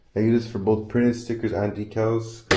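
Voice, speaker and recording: A man speaks in a dark, mellow tone, with audible echo from the room. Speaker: sticker shop owner and vlogger. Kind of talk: casual shop tour vlog. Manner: fast; hesitant, some stuttering.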